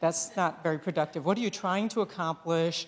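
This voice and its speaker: Speaking at a fairly quick pace, a woman has an ordinary speaking voice with a fairly low pitch. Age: 60s. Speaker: nurse executive and invited speaker. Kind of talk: talk to a small audience. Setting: small room with audience, being videotaped. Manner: conversational, with filler sounds.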